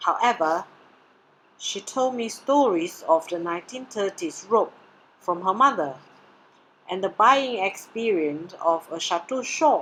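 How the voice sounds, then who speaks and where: Speaking at a fairly slow pace with a Mandarin accent, a woman with a medium-pitched voice uses lively intonation and takes long, frequent pauses. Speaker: doctoral candidate presenting research. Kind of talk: presentation. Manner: formal.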